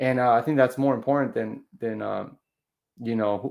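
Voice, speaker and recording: Over a quiet background, a man with a plain, everyday voice speaks at medium pitch and a moderate pace, his intonation fairly even. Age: 30s. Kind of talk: casual podcast conversation.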